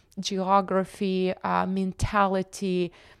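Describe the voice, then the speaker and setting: A woman with a Russian accent speaks at medium pitch in a very clean recording, the background silent and the sound dry and close with no echo. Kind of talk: interview conversation.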